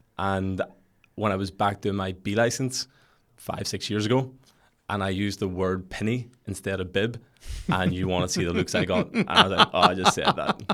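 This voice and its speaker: On a very clean recording with a silent background, a man speaks at a moderate pace with fairly low pitch, fairly even intonation and a bright, sharp tone. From Northern Ireland, West Belfast. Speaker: football coach and entrepreneur. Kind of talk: podcast interview.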